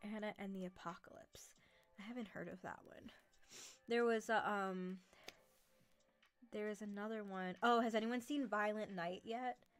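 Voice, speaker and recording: Music plays in the background as a woman with a fairly high pitch speaks at a moderate pace, with long, frequent pauses. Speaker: livestreamer and horror narrator. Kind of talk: casual chat. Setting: livestream. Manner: animated.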